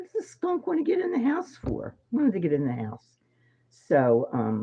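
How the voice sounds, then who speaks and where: This woman speaks with a Philadelphia accent. Her pace is moderate. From Philadelphia, US. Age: 70s. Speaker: psychic medium. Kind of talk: casual monologue. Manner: hesitant, many fillers.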